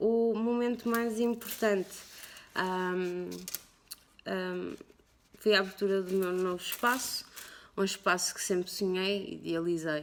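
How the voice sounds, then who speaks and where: A woman talks very slowly with long, frequent pauses, her medium pitch and fairly even intonation holding throughout. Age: 30s. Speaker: tattoo artist. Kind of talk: personal interview testimony. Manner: halting, many fillers.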